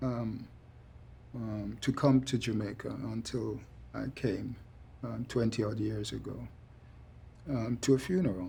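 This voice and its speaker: A man's dark, mellow voice at medium pitch with vocal fry, fairly even intonation, a moderate pace, and long, frequent pauses. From England, East London. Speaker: deportee. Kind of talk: documentary interview.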